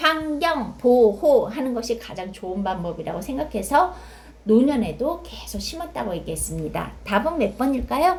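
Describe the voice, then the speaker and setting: A woman speaks at a fairly slow pace, with very wide pitch swings and big swings in loudness. Audible room echo surrounds her voice. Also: fairly high pitch for a woman. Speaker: exam prep tutor. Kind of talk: tutorial. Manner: halting with fillers.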